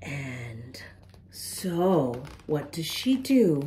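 A very slow voice with big pitch swings and a dark, mellow tone. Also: woman, low pitch for a woman.

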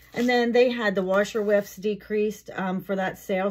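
A woman talks at a moderate pace, her intonation fairly even, with light background noise behind her. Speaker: product haul vlogger. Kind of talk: casual vlog chat. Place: home room. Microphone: phone near.

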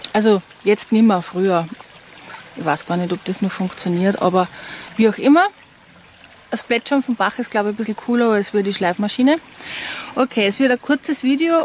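Moderate pace from a woman, dry sound with no echo and light background noise. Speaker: vlogger. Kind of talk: casual vlog chat. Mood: chatty, candid. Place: waterside. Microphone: phone near.

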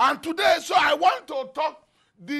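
Over a quiet background, a raised, projected voice carries a Nigerian accent. The tone is animated, bright and sharp. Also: man. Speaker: pastor. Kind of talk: sermon with fervent prayer and decrees. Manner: fervent, animated, preaching. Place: studio. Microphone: lapel.

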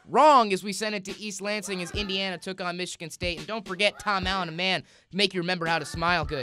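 In a raised, projected voice, a man speaks very fast at a high pitch with an upbeat, playful tone. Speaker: sports commentator. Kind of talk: comedic sportscast update.

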